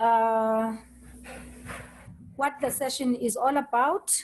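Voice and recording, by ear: A woman talks slowly with fairly even intonation. Her voice is fairly high and slightly mellow.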